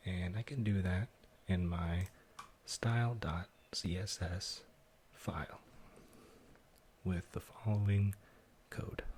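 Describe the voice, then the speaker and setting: A soft-spoken man with a very deep, low pitch talks in a calm tone at a very slow pace, with long, frequent pauses. His intonation stays fairly even over noticeable background noise. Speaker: ASMR content creator. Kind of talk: ASMR coding tutorial, soft-spoken narration. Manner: soft-spoken, calm.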